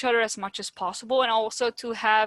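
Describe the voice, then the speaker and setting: Speaking at a fairly quick pace with a Dutch accent, a woman has a bright, sharp tone, and the sound is dry and close with no echo. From Netherlands. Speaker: podcast host, childhood cancer survivor. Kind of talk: casual interview chat.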